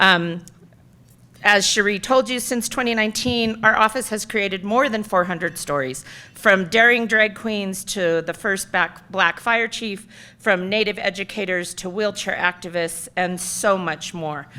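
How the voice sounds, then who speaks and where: The speech moves at a fairly slow pace with a bright, sharp tone and ordinary pitch variation. It is a very clean recording with a silent background. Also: woman, medium pitch for a woman. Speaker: keynote speaker, city storytelling office director. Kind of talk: keynote talk. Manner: loud.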